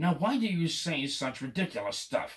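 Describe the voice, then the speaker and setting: This put-on character voice is gruff and growling. It moves along at a moderate pace. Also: man. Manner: growling, indignant.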